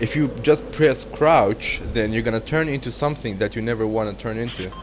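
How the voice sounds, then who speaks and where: A man talks at a fairly quick pace in a medium pitch. Noticeable background noise runs throughout. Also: ordinary pitch variation. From Kurdistan. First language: Kurdish. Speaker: gaming streamer. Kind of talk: casual gaming chat. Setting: live stream with online voice chat.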